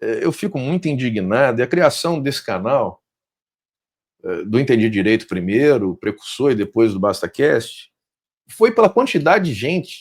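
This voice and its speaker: Against a silent background in a very clean recording, the pitch swings very widely. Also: man. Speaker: podcast host. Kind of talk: interview. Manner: loud.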